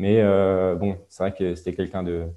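Over a quiet background, a man with a very deep, low pitch and a dark, mellow tone speaks at a moderate pace in a monotone, flat intonation. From Alsace, France. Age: 20s. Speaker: handball referee. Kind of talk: interview. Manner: hesitant, many fillers.

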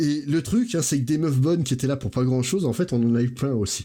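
The voice is dark and mellow, somewhat breathy, at a fairly quick pace. The recording is very clean, with a silent background. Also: man. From Portuguese heritage, grew up in France. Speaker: podcast guest, pop-culture commentator. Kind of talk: casual chat.

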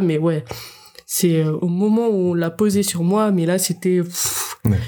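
Against noticeable background noise, a woman talks at a very slow pace with ordinary pitch variation. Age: 20s. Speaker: young mother. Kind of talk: casual interview.

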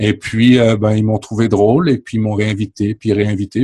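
Here a man speaks at a fairly low pitch. His voice is somewhat breathy and his pace fairly slow. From France. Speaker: podcaster. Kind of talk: casual chat.

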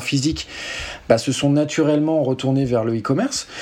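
Against noticeable background noise, the speaker moves at a moderate pace with ordinary pitch variation. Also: man. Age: 30s. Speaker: tech company founder and CEO. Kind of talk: interview. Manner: hesitant, many fillers.

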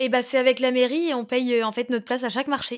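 Speaking at a fairly quick pace, a woman with a fairly high pitch comes through on a very clean recording with a silent background. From Moselle, France (Pange, near Metz). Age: 20s. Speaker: organic market gardener. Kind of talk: casual interview. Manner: cheerful, energetic.

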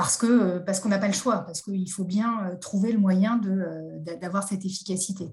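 Somewhat breathy, this woman's voice sits at a medium pitch. She speaks at a moderate pace with fairly even intonation. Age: 40s. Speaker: judge and magistrate trainer. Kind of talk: interview. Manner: hesitant, many fillers.

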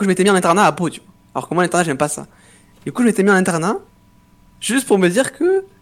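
This man's voice is high and shows ordinary pitch variation. He speaks very fast. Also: big swings in loudness. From southwest France (Pau). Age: 20s. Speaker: professional esports player. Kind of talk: interview. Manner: halting.

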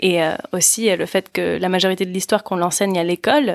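Her fairly low voice shows vocal fry and ordinary pitch variation as the woman talks at a fairly quick pace, the sound dry and close with no echo. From United States. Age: 20s. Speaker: podcast co-host. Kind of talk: casual discussion.

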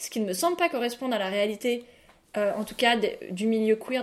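Talking at a fairly quick pace, a woman uses a fairly high pitch. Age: 20s. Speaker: podcast co-host, journalist. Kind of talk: casual chat.

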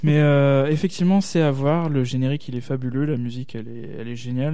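Audible room echo colors the dark, mellow tone of a man speaking with ordinary pitch variation. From Alsace. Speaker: podcaster. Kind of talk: casual chat.

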